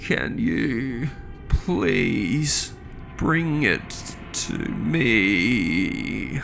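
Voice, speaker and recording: Over clear background noise, a man speaks in a put-on character voice at a medium pitch. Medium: read story.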